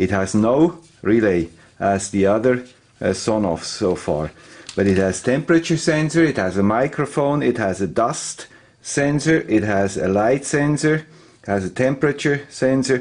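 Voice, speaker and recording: With a Swiss accent, a man talks with lively intonation. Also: medium pitch for a man, moderate pace. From Switzerland. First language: Swiss German. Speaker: electronics tech YouTuber. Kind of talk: tutorial.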